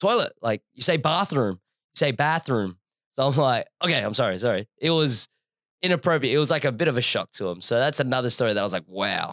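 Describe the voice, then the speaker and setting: A man with an Australian accent and a medium pitch talks at a fairly quick pace, with an animated tone and lively intonation. The sound is dry and close with no echo, on a very clean recording with a silent background. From Australia, Adelaide. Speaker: podcast co-host. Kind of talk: casual chat.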